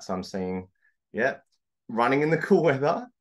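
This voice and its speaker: A man speaks with an Australian accent, and the background is quiet. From Australia, Sydney. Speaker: coach and consultant. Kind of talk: webinar presentation. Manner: hesitant with many fillers.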